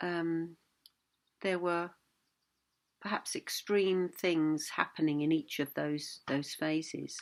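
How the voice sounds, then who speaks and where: A woman with a calm tone on a very clean recording with a silent background. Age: 60s. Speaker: Buddhist teacher. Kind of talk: reflective talk. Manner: halting.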